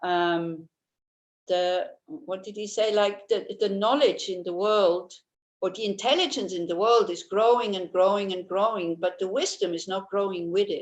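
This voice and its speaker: A woman speaks at a medium pitch in a Swiss accent. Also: ordinary pitch variation, moderate pace. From Switzerland. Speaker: Buddhist teacher. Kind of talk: dharma talk. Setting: video call.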